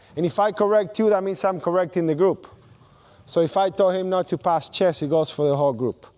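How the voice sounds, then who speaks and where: A man with a non-native accent speaks in an animated tone, his voice pitched high. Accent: foreign. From not from Australia. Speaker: basketball coach. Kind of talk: coaching clinic demonstration.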